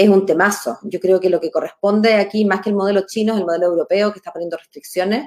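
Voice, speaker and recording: Speaking in a Chilean accent, a woman goes at a very fast pace. Her pitch is medium. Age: 40s. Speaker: lawyer and political candidate. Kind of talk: interview.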